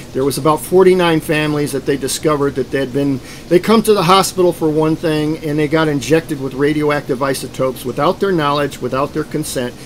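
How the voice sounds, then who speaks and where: Over noticeable background noise, a man with a fairly high voice talks at a very fast pace. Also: ordinary pitch variation. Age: 60s. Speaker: self-described program survivor. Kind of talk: testimony.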